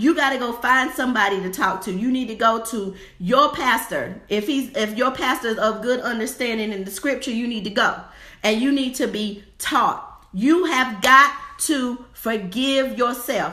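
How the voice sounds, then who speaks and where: Audible room echo surrounds a woman speaking at a moderate pace in an animated tone. Her pitch is high, with ordinary pitch variation. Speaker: faith-based divorce coach and minister. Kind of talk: motivational livestream sermon. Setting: live stream. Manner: animated, preacherly.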